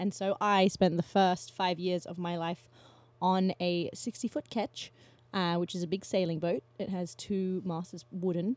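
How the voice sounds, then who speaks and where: A woman with a normal speaking voice and medium pitch speaks at a fairly slow pace with ordinary pitch variation. The sound is dry and close, with no echo. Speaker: podcast host. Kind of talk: casual chat.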